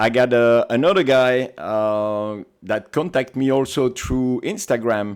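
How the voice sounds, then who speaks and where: In a Belgian accent, a man speaks at a fairly slow pace with a medium pitch and ordinary pitch variation. The recording is very clean, with a silent background. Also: hardly any pauses. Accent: non-American, Belgian. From Belgium. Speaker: paintball team captain. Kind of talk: podcast interview.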